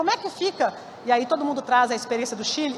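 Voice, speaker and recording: Very wide pitch swings in a woman's speech, set against noticeable background noise. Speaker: keynote speaker at a conference. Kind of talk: conference keynote talk. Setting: stage with audience. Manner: fast; halting, many self-corrections.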